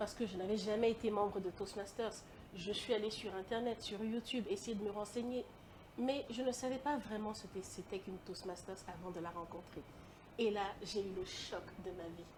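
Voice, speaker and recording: Here a woman talks at a medium pitch and a moderate pace. Her pitch variation is ordinary. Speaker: lecturer and public speaking coach. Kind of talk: interview. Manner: carefully articulated.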